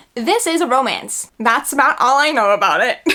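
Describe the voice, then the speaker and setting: An American accent comes through clearly. The speaker is a woman. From New York. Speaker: book vlogger. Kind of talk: casual chat. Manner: animated.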